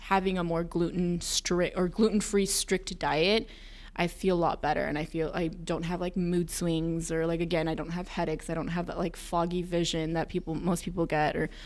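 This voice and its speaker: At a moderate pace, a woman speaks with a plain, everyday voice, a fairly low pitch and fairly even intonation. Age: 20s. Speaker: wellness center staff member. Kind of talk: casual podcast interview.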